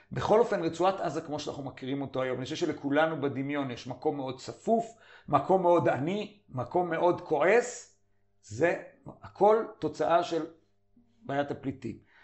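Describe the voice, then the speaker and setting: A man speaks with a normal speaking voice and a fairly high pitch. His pace is moderate and his intonation lively. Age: 50s. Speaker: journal editor and commentator. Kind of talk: interview.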